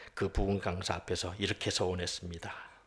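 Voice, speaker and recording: A man is speaking. His voice is somewhat breathy. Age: 60s. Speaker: pastor, former prosecutor. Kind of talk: sermon with personal testimony. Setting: worship service.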